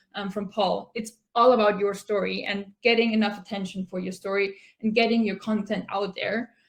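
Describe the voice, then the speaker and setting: A woman with an Austrian accent, fairly high pitch, a somewhat breathy voice, monotone, flat intonation, and a moderate pace. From Austria, Tyrol. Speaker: product manager at a mapping company. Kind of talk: conference talk.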